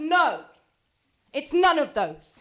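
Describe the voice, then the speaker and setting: At a fairly slow pace, a woman speaks in a bright, sharp tone. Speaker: spoken word poet. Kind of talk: slam poetry performance.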